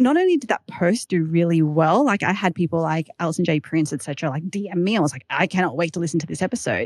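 A woman with an Australian accent talks at a very fast pace with lively intonation and a fairly low pitch, in a dry, close sound with no echo. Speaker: startup founder and podcaster. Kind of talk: casual interview chat.

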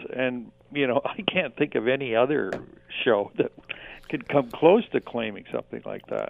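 Noticeable background noise is present throughout. A man talks over it at a moderate pace. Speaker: sportswriter and author. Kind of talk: radio interview.

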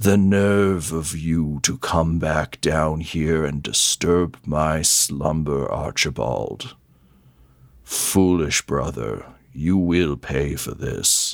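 In a put-on character voice, a man booms at a very deep, low pitch and speaks at a very slow pace. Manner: menacing, resentful.

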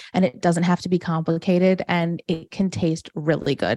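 In a plain, everyday voice with an American accent, a woman speaks at a fairly low pitch and a moderate pace with fairly even intonation and a dry, close sound with no echo. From US Midwest, suburban Detroit, Michigan. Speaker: vegan chef and food entrepreneur. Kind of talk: podcast interview.

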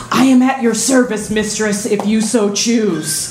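A female-sounding voice does a put-on character at a fairly high pitch and a fairly slow pace. Clear background noise is heard behind it.

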